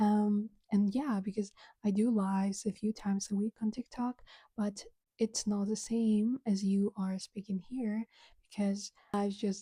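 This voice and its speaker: Dry and close with no echo, the voice comes in a Ukrainian accent, somewhat breathy and fairly slow, with monotone, flat intonation and a dark, mellow tone. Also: woman. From Ukraine. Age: 20s. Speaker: podcaster and content creator. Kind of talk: casual solo podcast chat.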